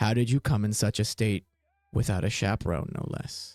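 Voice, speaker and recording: Someone puts on a character voice with a low pitch at a moderate pace. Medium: actual play. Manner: stern, formal.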